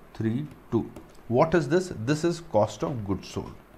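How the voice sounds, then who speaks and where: A man's medium-pitched voice with ordinary pitch variation and audible room echo. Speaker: accounting teacher. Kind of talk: lecture. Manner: slow.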